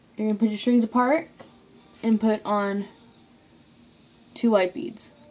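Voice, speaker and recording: Over faint music in the background, a woman speaks at a fairly slow pace with a fairly high pitch and ordinary pitch variation. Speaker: craft tutorial maker. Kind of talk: tutorial. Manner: halting. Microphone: phone near.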